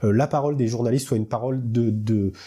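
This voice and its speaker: A man speaks with a southern French accent in a dark, mellow tone that is somewhat breathy. The recording is very clean, with a silent background. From southern France, Hautes-Alpes. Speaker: actor and party activist. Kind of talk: political interview. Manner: hesitant, many fillers.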